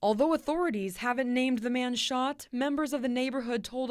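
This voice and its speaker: A woman with an American accent speaks at a fairly quick pace in a high voice, her pitch varying an ordinary amount. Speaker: TV reporter. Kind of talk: field report package voiceover.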